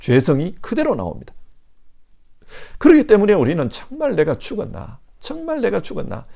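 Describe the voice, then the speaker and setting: Moderate pace with long, frequent pauses. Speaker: pastor. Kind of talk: sermon.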